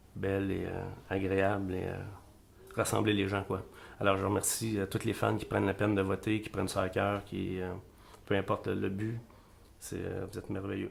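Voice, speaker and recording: A man with a Quebec accent speaks at a moderate pace with a fairly low pitch and vocal fry. His intonation is monotone and flat, broken by long, frequent pauses. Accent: Québécois French. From Quebec, La Tuque. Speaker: singer-songwriter. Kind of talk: interview. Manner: hesitant, many fillers.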